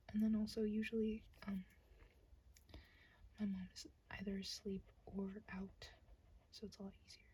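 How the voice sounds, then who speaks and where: A woman speaks at a moderate pace. She is soft-spoken, with a relaxed tone. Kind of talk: soft-spoken ASMR ramble to camera. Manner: soft-spoken, relaxed, rambling.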